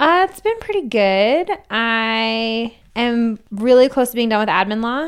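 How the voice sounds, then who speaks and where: Here is a plain, everyday voice. The intonation is lively. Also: woman, fairly high pitch for a woman, fairly slow pace. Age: 20s. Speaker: podcast co-host, law student. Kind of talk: casual chat. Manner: chatty, overlapping banter.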